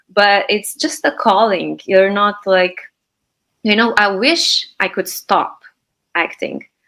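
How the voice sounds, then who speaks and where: With a Slovenian accent, a woman talks at a very slow pace in a bright, sharp tone, a medium pitch and ordinary pitch variation. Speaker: actress and acting teacher. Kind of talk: interview. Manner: hesitant, many fillers.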